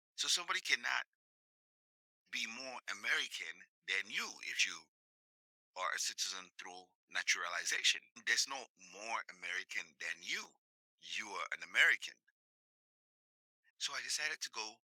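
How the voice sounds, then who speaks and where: With an African accent, a man speaks with long, frequent pauses in a dry, close sound with no echo. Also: moderate pace. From sub-Saharan Africa. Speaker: podcast host. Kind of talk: monologue commentary.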